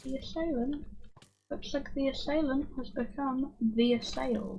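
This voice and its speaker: A woman speaks quietly at a fairly slow pace, her high-pitched voice dark and mellow in tone and showing ordinary pitch variation. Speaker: gaming streamer. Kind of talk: casual gameplay commentary. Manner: calm. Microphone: may be cutting out quiet speech.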